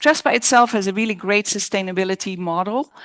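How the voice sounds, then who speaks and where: A woman at a moderate pace, dry and close with no echo, against a quiet background. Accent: Dutch. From Netherlands. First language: Dutch. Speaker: architect. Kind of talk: design presentation Q&A. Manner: halting, self-correcting.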